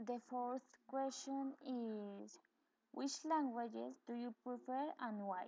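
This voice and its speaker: Very slowly, a woman speaks in a Latin American accent with a high pitch and a dark, mellow tone. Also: ordinary pitch variation. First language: Spanish. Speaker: bilingual education student. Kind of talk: video blog tag answering questions. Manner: halting, with hesitations.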